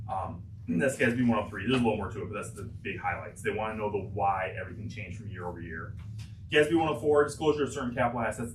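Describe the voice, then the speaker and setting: A man's fairly low voice at a very fast pace, with ordinary pitch variation, audible room echo and noticeable background noise. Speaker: auditor presenting financial statements. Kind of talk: board meeting presentation. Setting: public board meeting.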